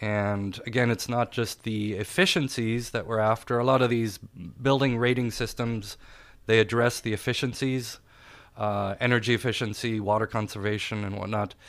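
A man speaks with a German accent at a moderate pace. His pitch is medium and his intonation fairly even. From Austria. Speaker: architect. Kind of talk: interview. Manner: halting, many fillers.

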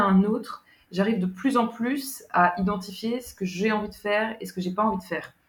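Speaking fairly slowly, a woman at a medium pitch sounds somewhat breathy, with ordinary pitch variation. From France, Paris region (Yvelines). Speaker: writer, guest. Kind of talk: casual interview conversation. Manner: hesitant, many fillers.

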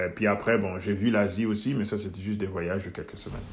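A man's fairly low voice with audible room echo. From Guinea, Switzerland and Mozambique (mixed childhood). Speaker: entrepreneur and mentor. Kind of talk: interview conversation.

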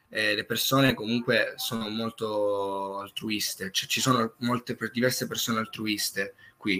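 A man talks in a normal speaking voice. His pace is fairly slow, with ordinary pitch variation. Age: young. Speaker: singer-songwriter. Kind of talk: interview. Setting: live stream.

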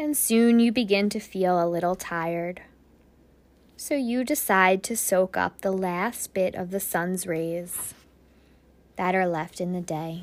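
A woman speaks with a normal speaking voice at a medium pitch. Her pace is fairly slow and her pitch varies in an ordinary way. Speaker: podcast host and meditation guide. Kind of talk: guided meditation, second-person visualization journey. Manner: slow, soothing, gently paced with breath cues; soft-spoken, dreamy imagery-laden narration.

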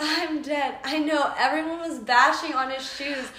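A woman's high-pitched, raised and projected voice at a moderate pace, with audible room echo and noticeable background noise. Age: 20s. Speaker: podcast co-host, law student. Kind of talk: casual chat. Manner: animated.

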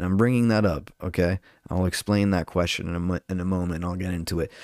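In a Southern California accent, a man speaks with a very deep, low pitch. The sound is dry and close with no echo, on a very clean recording with a silent background. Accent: Southern Californian English. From Southern California, Orange County. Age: 20s. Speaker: podcast host and stand-up comedian. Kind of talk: casual solo monologue. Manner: animated.

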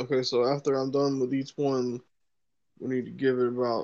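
The background is quiet as a man speaks. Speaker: podcast co-host. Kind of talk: casual chat. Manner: low-energy, subdued.

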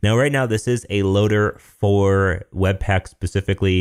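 A man with an American accent uses a plain, everyday voice at a fairly low pitch and a moderate pace, with ordinary pitch variation. The sound is dry and close with no echo, and the recording is very clean with a silent background. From US Midwest, Michigan. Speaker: podcast host and web developer. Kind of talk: casual chat, technical discussion.

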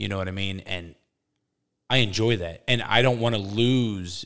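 This recording is very clean, and the background is silent. The man's pace is moderate, and his pitch variation is ordinary. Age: 40s. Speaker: podcast co-host. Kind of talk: casual chat.

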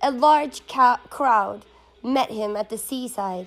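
Speaking with an American accent, a woman has a fairly high pitch. Her pace is very slow, and her pitch varies in an ordinary way. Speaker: person reading scripture aloud. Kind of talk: dramatic scripture narration, reading aloud. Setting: background music while reading. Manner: expressive, storytelling delivery; casual, chatty, rambling between readings.

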